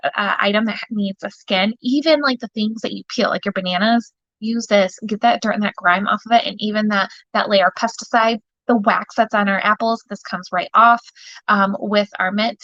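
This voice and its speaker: A woman with a fairly high pitch and a bright, sharp tone speaks at a moderate pace. The sound is dry and close, with no echo. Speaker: direct sales consultant. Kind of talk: live product demonstration. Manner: animated; quiet.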